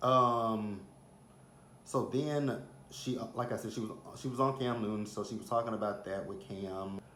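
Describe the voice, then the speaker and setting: A medium-pitched man with an American accent, with audible room echo. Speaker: celebrity gossip vlogger. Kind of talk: casual chat. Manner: animated.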